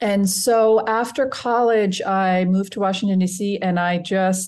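Ordinary pitch variation and a medium pitch from a woman with a normal speaking voice, over a quiet background. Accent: American. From US. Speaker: healthcare and nonprofit consultant. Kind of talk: interview. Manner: warm.

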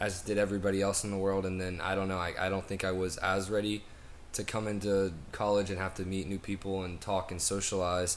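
A man with an American accent talks at a fairly quick pace in a very deep, low pitch. His intonation is monotone and flat, with audible room echo. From US South. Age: young. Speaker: college student. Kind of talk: interview. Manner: halting.

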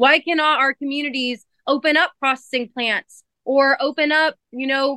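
A woman's raised, projected voice, high-pitched with a bright, sharp tone, moves at a fairly slow pace with ordinary pitch variation in a dry, close sound with no echo. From central California. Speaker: dairy farmer and country singer. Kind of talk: interview. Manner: casual, many fillers.

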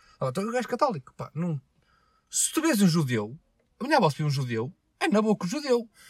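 Speaking at a fairly quick pace broken by long, frequent pauses, a man uses a high pitch with very wide swings, in a dry, close sound with no echo. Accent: European Portuguese. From Portugal. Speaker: podcast host. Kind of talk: casual chat.

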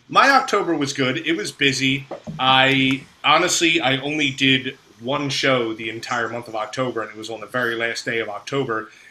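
At a moderate pace, a man talks at medium pitch with ordinary pitch variation while noticeable background noise sits behind him. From South Jersey, US. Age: 30s. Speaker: music show promoter. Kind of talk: casual podcast interview. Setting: video call.

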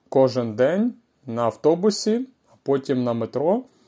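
A man with a fairly high voice and a dark, mellow tone speaks at a fairly slow pace. His pitch swings very widely. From Ukraine. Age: 30s. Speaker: language-learning podcaster. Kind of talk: slow podcast monologue for learners. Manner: slow, clear.

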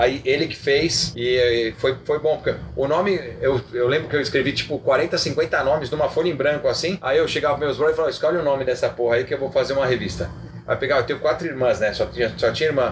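Through noticeable background noise, a man with a fairly high pitch talks at a very fast pace with fairly even intonation. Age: 40s. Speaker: car magazine founder and journalist. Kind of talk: casual interview.

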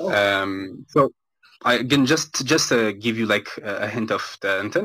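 An unremarkable speaking voice from a man, medium in pitch, with ordinary pitch variation. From Ethiopia, Addis Ababa. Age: 20s. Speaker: game studio founder and software engineer. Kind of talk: live audio room interview.

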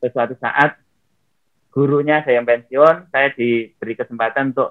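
Intonation here is monotone and flat. The words come at a moderate pace. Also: man. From Riau, Indonesia. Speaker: former honorary teacher turned network-marketing businessman. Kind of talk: interview.

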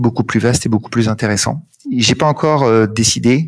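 A man speaks at a fairly quick pace in a medium pitch. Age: 40s. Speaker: sales consultant and business owner. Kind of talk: interview. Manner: halting.

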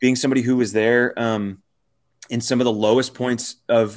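An unremarkable speaking voice from a man at medium pitch, fairly even in intonation, against a quiet background. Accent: American. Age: 30s. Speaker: youth pastor. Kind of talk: casual interview.

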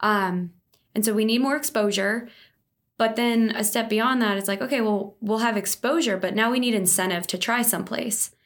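A woman with an American accent speaks in a plain, everyday voice at a fairly high pitch and a moderate pace, with ordinary pitch variation, on a very clean recording with a silent background. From New Jersey, near Philadelphia. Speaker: startup founder. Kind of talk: interview. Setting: in person studio recording.

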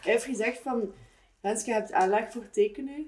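A woman's fairly high-pitched voice with a dark, mellow tone. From Ghent area, Belgium. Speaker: art student and video artist. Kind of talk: casual chat.

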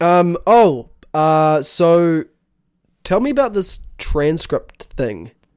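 A man's high-pitched voice with a New Zealand accent, very slow pace and lively intonation. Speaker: podcast host. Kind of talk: casual banter.

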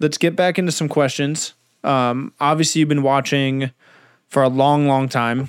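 With an American accent and a normal speaking voice, a man speaks at a moderate pace in a fairly high pitch, his intonation fairly even and his loudness very even. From Southern California. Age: 20s. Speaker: podcast host. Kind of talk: casual interview chat.

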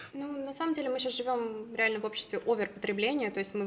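A woman's very fast speech with ordinary pitch variation, set against noticeable background noise. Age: 20s. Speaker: plant-based food company co-founder. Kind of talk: casual chat.

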